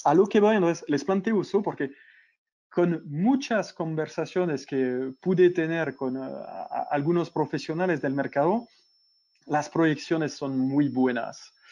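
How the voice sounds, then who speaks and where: Over a quiet background, a man with a French accent speaks fairly slowly in a fairly high pitch, with a dark, mellow tone and ordinary pitch variation. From France. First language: French (speaking Spanish). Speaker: e-commerce consultant. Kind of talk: webinar interview. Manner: halting with fillers.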